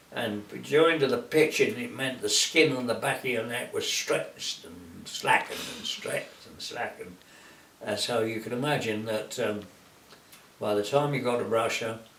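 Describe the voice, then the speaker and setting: A man talks with a British accent, his loudness swinging widely. Noticeable background noise runs under the recording. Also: moderate pace. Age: 80s+. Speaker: war veteran. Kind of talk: interview answer.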